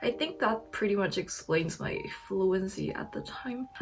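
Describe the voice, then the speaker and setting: This woman speaks fairly slowly. Noticeable background noise can be heard behind her. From South Korea. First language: Korean. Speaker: YouTuber, English learning vlogger. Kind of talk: casual vlog talk to camera.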